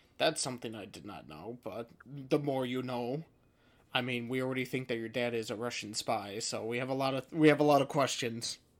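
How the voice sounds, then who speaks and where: The voice carries an upstate New York accent. It moves at a fairly quick pace. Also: man, medium pitch for a man, ordinary pitch variation, big swings in loudness. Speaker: podcast host. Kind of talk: casual chat.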